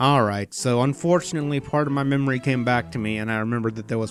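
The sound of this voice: An unforced reading voice, its pitch varying in the ordinary way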